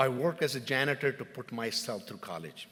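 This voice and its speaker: At a moderate pace, a man talks with an Indian accent. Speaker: mayor. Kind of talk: formal address. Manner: formal; halting.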